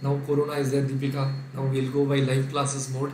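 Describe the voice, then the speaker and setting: A man speaks with an Indian accent in a fairly high voice, flat and monotone at a fairly quick pace. Noticeable background noise and audible room echo fill the recording. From India, Kerala (Calicut). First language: Sindhi. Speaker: accounting lecturer. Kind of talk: online lecture. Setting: live online class.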